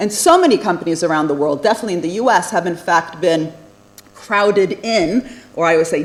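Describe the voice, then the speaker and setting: A woman's fairly low voice amid noticeable background noise. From USA (born in Italy, moved at age five). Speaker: economics professor. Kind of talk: lecture.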